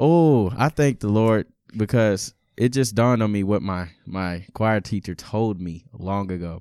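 A fairly low, dark, mellow male voice with an American accent, fairly slow, with ordinary pitch variation, on a very clean recording with a silent background. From Texas. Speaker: college student and musician. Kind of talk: testimony.

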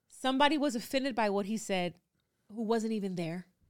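A plain, everyday voice from a woman, fairly high in pitch, with lively intonation and a fairly quick pace on a very clean recording with a silent background. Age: 30s. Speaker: actress and podcast co-host. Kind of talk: casual chat.

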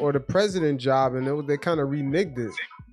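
Noticeable background noise behind a man speaking, his pitch varying in an ordinary way. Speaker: basketball talk host. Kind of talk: casual sports talk. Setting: live online audio chat.

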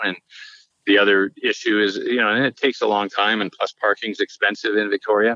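A man with a Canadian accent talks at a fairly quick pace with a bright, sharp tone and fairly low pitch. His intonation stays fairly even, and the sound is dry and close with no echo. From Canada, Vancouver Island (British Columbia). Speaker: mayor. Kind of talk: interview.

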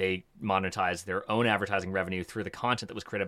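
Very fast and in a Canadian accent, a man speaks at a fairly low pitch with a bright, sharp tone and fairly even intonation on a very clean recording with a silent background. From Canada, Toronto (Etobicoke). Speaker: media startup co-founder. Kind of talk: interview.

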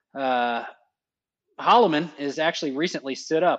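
This man speaks with a Texan accent at a fairly high pitch. His pitch variation is ordinary. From Texas (rural, southwest of Houston). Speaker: fighter pilot instructor. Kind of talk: casual interview.

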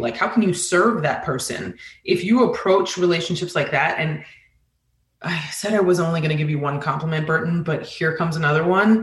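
A woman's unremarkable speaking voice, on the low side in pitch, at a medium tempo and with normal pitch movement. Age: 40s. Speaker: communications director at a beverage brand. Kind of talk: interview.

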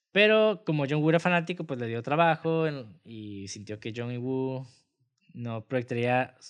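The man's delivery is fairly slow. His intonation rises and falls in a lively way. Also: medium pitch for a man, quiet background. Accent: Mexican. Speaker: film podcast host. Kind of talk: casual chat; reading notes aloud.

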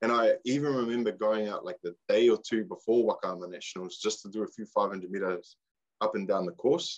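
A man with a New Zealand accent talks at a moderate pace. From New Zealand, Far North. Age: 20s. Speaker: waka ama athlete and coach. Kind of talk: casual chat.

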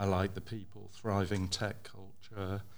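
Audible room echo surrounds a man with a fairly low pitch. He speaks at a fairly slow pace in monotone, flat intonation. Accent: English. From England. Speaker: developer. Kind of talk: panel discussion. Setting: stage with audience.

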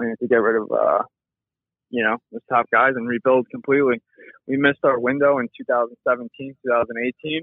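Flat, monotone delivery at a fairly quick pace. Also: man, medium pitch for a man. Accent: American. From New York. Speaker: caller. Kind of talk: voicemail rant. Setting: phone voicemail.

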